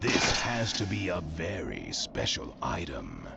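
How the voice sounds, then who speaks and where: In a put-on character voice, a man speaks with a very deep, low pitch. His fairly slow delivery comes with clear background noise. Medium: game stream.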